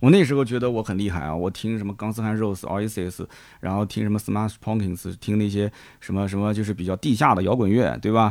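A man speaks at a fairly quick pace with a fairly low pitch and ordinary pitch variation. The recording is very clean, with a silent background. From Nanjing, China. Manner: conversational, chatty.

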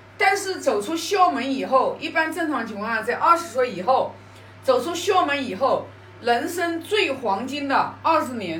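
A high-pitched woman speaks fairly slowly with very wide pitch swings, through audible room echo and noticeable background noise. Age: 50s. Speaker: Confucian classics study sharer. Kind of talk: lecture-style study sharing. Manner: hesitant, with fillers and repetitions.

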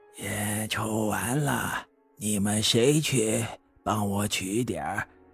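A raspy, put-on character voice speaks at a very slow pace with faint music in the background. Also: man, fairly low pitch for a man.

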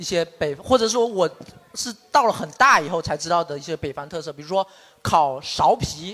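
Speaking at a moderate pace with a southern Chinese accent, a man uses lively intonation and big swings in loudness in a high voice. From Shaxian, Sanming, Fujian, southern China. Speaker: podcast host. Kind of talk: casual group chat before live audience.

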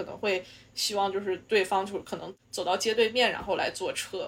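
Very clean recording with a silent background, a woman speaking at a moderate pace. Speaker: podcast co-host. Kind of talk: casual chat.

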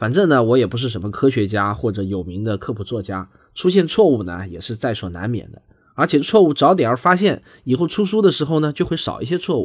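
A man with a southern Chinese accent speaks at a medium pitch and a fairly quick pace, his pitch swinging very widely and his loudness in big swings. The recording is very clean with a silent background. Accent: southern Chinese accent in Mandarin. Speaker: science podcaster. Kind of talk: podcast discussion.

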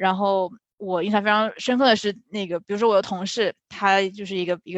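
Recorded dry and close with no echo, a woman talks at a fairly quick pace in a plain, everyday voice with fairly even intonation. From China. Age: 20s. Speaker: finance and tech product manager. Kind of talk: interview Q&A.

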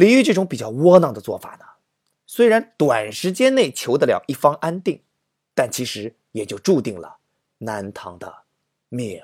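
A man with a fairly high pitch and vocal fry speaks at a fairly slow pace, his pitch swinging very widely, with long, frequent pauses and a dry, close sound with no echo. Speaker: literature storytelling podcast host and teacher. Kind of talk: humorous storytelling narration. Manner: animated.

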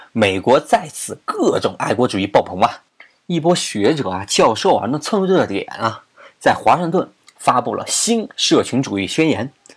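Speaking fairly slowly, a man uses a fairly high voice with vocal fry and very wide pitch swings. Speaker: podcast host. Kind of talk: casual explanatory monologue. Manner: animated.

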